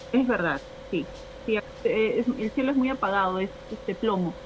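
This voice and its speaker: A woman with a fairly high pitch and ordinary pitch variation talks at a moderate pace against noticeable background noise. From Peru, Lima. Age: 30s. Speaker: stand-up comedian and show producer. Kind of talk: casual chat. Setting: home terrace, video call.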